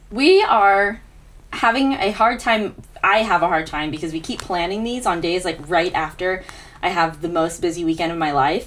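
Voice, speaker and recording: At a medium pitch, a woman speaks with ordinary pitch variation. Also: moderate pace. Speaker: podcast co-host. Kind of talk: casual chat. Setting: home. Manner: loud. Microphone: far from the mic.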